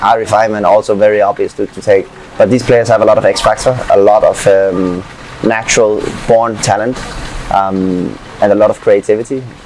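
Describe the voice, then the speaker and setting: A speaker with a Danish accent talks at a fairly quick pace over noticeable background noise. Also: man. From Denmark. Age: 20s. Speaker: footballer. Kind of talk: interview.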